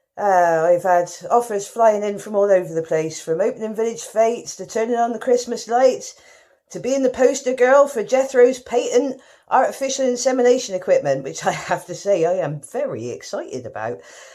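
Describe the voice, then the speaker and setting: Lively intonation from a fairly high-pitched woman with a West Country accent. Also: moderate pace. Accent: West Country, exaggerated for comic effect. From rural West Country, England. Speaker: talent show contestant. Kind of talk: comic monologue.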